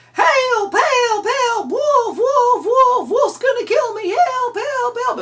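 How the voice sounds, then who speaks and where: This is a put-on character voice with extremely high pitch. It moves at a very slow pace. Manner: panicked, yelling.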